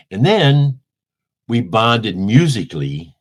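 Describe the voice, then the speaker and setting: In a Midwestern American accent, a man speaks in an animated tone. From US Midwest, St. Louis, Missouri. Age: 70s. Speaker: musician, band bassist. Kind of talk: interview.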